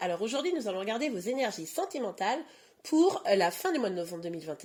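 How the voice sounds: A woman puts on a character voice that is hoarse and fairly high, racing at a very fast pace with very wide pitch swings.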